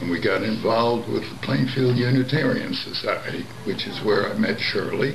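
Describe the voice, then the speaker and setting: A man speaks with medium pitch, ordinary pitch variation and hardly any pauses. Audible room echo and noticeable background noise surround him. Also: moderate pace. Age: 80s+. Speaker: civil rights activist. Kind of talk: interview.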